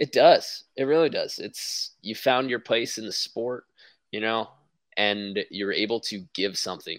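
A man with an unremarkable speaking voice at a medium pitch talks at a fairly slow pace with ordinary pitch variation, recorded very cleanly against a silent background. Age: 30s. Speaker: beach volleyball coach and podcast host. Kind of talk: casual chat.

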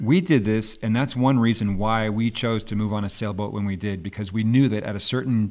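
A man speaks in a plain, everyday voice, fairly low in pitch, at a moderate pace with ordinary pitch variation. The recording is very clean against a silent background. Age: 50s. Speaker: podcast host, life coach. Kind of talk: casual chat.

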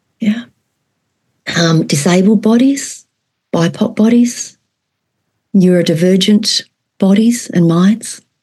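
In an Australian accent, a woman speaks at medium pitch, somewhat breathy and dark, mellow in tone, at very even loudness. Her pace is very slow, with long, frequent pauses. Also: ordinary pitch variation. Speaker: trauma therapist and educator. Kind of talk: conversational interview; guided exercise.

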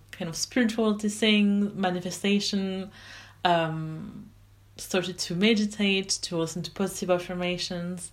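Her intonation holds fairly even. This woman keeps a moderate pace. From France. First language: French. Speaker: life coach. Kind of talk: personal story monologue.

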